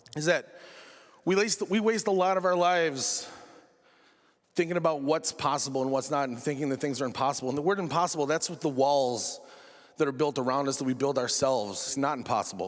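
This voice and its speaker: Speaking fairly quickly in a Western New York accent, a man uses a fairly high voice with ordinary pitch variation. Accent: Western New York (Inland North) American. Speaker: correctional officer and stand-up comedian. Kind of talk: TEDx talk with comedic delivery. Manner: casual, sarcastic, conversational.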